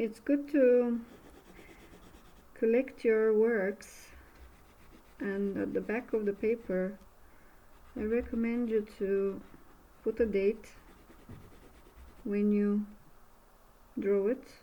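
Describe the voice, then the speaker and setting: A woman with a Bulgarian accent speaks at a very slow pace in a fairly high pitch, with long, frequent pauses and fairly even intonation. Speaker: art instructor. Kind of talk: tutorial. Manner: halting.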